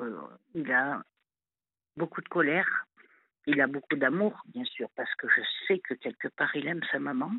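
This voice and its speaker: Her loudness swings widely as this woman speaks at a fairly slow pace. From southern France. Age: 50s. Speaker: caller. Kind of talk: phone-in confession. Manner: halting.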